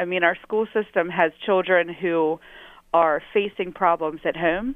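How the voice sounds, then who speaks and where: A woman speaks in an unremarkable speaking voice. She keeps a medium pitch and a moderate pace. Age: 30s. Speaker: city councilwoman. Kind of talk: policy interview. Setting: phone call.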